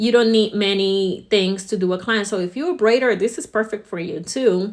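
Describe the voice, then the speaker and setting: At a moderate pace, a woman speaks in an ordinary speaking voice with medium pitch and ordinary pitch variation. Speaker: salon owner and hair educator. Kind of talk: promotional talk to camera.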